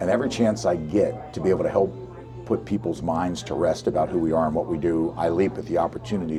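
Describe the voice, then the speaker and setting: Music plays in the background. Over it, a man with an American accent talks at a very fast pace with lively intonation. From South Carolina. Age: 60s. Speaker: healthcare executive. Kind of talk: interview.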